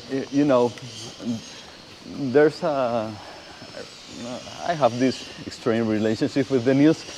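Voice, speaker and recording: A man with a Spanish accent at a fairly slow pace, with long, frequent pauses and noticeable background noise. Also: medium pitch for a man, fairly even intonation. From Venezuela. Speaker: motorcycle rider and viewer of the channel. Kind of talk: casual chat. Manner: hesitant, with repeated words.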